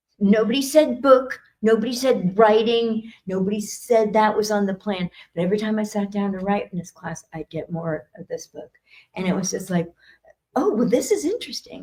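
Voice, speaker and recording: A woman with a fairly high pitch speaks at a moderate pace, her tone dark and mellow and somewhat breathy. Her loudness swings widely while her pitch varies in an ordinary way. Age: 60s. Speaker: psychic and spiritual speaker. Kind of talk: talk at expo. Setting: stage with audience and livestream.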